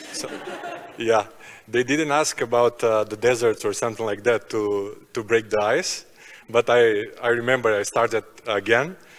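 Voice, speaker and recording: A man with a Macedonian accent talks at a moderate pace with fairly even intonation. Noticeable background noise runs behind him. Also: medium pitch for a man. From North Macedonia. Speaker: basketball player. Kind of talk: panel discussion.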